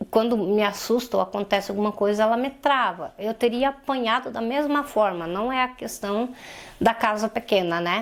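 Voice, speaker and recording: An ordinary speaking voice, a woman's, fairly high in pitch, with ordinary pitch variation at a moderate pace. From Santa Catarina, southern Brazil. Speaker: polio survivor and domestic violence survivor. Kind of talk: interview testimony.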